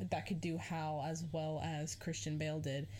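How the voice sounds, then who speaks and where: Heard with audible room echo, a woman speaks at a fairly slow pace in a very deep, low pitch with vocal fry. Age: 20s. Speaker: podcast host. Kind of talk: solo casual monologue. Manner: rambling with fillers and self-corrections.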